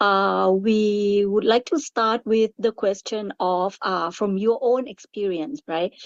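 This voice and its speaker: With a Thai accent, a woman of medium pitch speaks at a very slow pace with ordinary pitch variation, in a dry, close recording with no echo. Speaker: webinar moderator. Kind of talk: panel discussion moderation. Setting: webinar.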